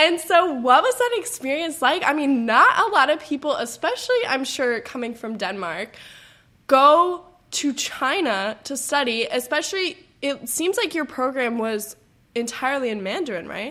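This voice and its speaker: A raised, projected voice moves at a moderate pace with very wide pitch swings. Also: woman, high pitch for a woman. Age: young. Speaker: interviewer, college student. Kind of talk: interview.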